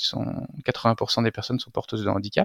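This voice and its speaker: The man's voice sounds dry and close, with no echo. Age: 40s. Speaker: entrepreneur, founder of a used-book business. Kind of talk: interview. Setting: video call.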